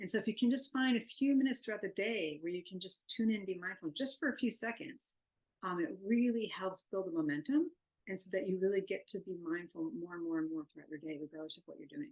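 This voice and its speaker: A woman talks at a very fast pace with a medium pitch. Her voice shows very wide pitch swings and big swings in loudness. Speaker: neuroscience researcher. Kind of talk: lecture.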